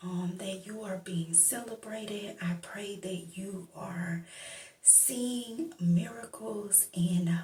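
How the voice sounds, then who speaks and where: Soft-spoken delivery at a very slow pace. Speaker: ASMR Bible reader. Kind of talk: ASMR welcome and prayer.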